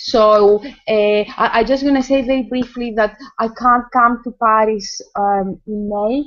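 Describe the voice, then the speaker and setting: Speaking with a Greek accent, a woman uses a fairly high pitch, fairly even intonation and a fairly slow pace. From Greece. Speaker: choreographer and academic. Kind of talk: casual video call chat. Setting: video call. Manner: halting.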